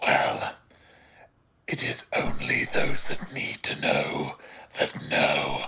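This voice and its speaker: A raspy, put-on character voice at a very slow pace, with long, frequent pauses. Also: man. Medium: actual play. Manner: haughty, self-important.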